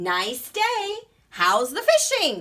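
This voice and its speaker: A woman raises and projects her voice in a put-on character voice at an extremely high pitch. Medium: read story. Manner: friendly.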